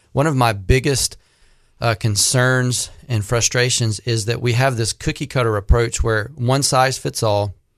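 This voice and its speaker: With a plain, everyday voice, a man speaks at a fairly slow pace, his medium pitch held in fairly even intonation over a quiet background. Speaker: Social Security and Medicare advisor. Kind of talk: radio call-in Q&A. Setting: radio studio.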